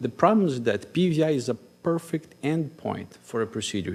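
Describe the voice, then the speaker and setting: A man with a Brazilian accent speaks at a moderate pace with ordinary pitch variation. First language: Portuguese. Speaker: cardiologist. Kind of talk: conference talk.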